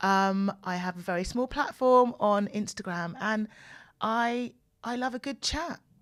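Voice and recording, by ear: Woman at medium pitch and a fairly slow pace, ordinary pitch variation, very clean recording, silent background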